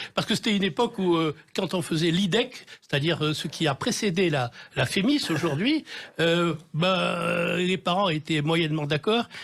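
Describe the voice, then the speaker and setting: This man speaks with a Marseille accent at a high pitch for a man. His pace is moderate and his loudness stays very even. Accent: southern French (Marseille). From Marseille, southern France. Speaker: TV director and novelist. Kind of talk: radio interview. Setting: radio studio. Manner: hesitant, many fillers.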